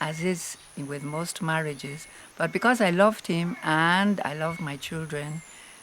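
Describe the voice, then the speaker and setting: Noticeable background noise fills the recording. Over it, a woman talks at a fairly slow pace. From Argentina (Buenos Aires). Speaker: retired nurse. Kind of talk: interview.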